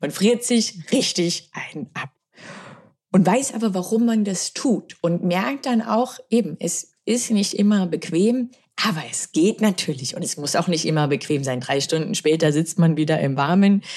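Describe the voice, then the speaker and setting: Her voice is an unremarkable speaking voice, medium in pitch, as the woman talks at a fairly slow pace with lively intonation. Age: 30s. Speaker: former fighter pilot and crisis management lecturer. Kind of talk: interview.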